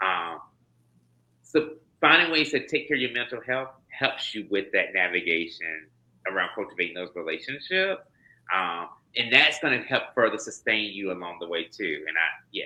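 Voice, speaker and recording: A man speaks with a slight Southern US accent in a fairly low, bright, sharp voice that makes very wide pitch swings against a quiet background. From US South (North Carolina, Florida, Kentucky). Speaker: HIV prevention trainer, doctor. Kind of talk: interview. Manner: fast.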